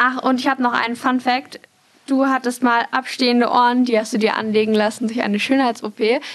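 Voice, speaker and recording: High female voice, monotone and flat, at a fairly quick pace with very even loudness. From Munich, Bavaria. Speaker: marketing student and trainee. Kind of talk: casual chat.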